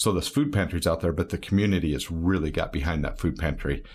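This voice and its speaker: A man's voice at a fairly quick pace with ordinary pitch variation. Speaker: barbershop owner. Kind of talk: casual interview chat. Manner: loud.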